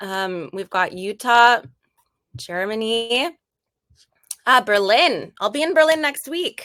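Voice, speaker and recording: Speaking very slowly with an American accent, a woman uses a fairly high pitch, a bright, sharp tone and very wide pitch swings. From US Midwest, Wisconsin. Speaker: customer team member, webinar presenter. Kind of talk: casual webinar intro.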